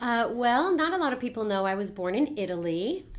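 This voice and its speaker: A woman with a Californian accent speaks at a moderate pace. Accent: General American, California. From Los Angeles, US West Coast. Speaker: network marketing coach. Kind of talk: casual interview.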